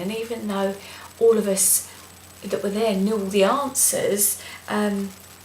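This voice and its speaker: Soft-spoken and at a medium pitch, a woman talks amid noticeable background noise and audible room echo. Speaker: vlogger. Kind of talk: video blog. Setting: at home, night.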